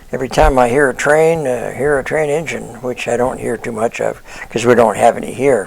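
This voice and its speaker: With an American accent, a man talks at a medium pitch and fairly even intonation. Noticeable background noise can be heard. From US Pacific Northwest (Portland, Oregon / Vancouver, Washington). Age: 80s+. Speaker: retiree sharing life memories. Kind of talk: personal reminiscence monologue. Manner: casual, with frequent fillers (uh, um).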